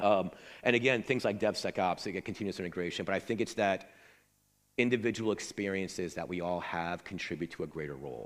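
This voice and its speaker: On a very clean recording with a silent background, a man with a very deep, low pitch speaks at a very fast pace with ordinary pitch variation. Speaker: conference speaker. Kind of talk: conference talk; audience Q&A. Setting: stage with audience.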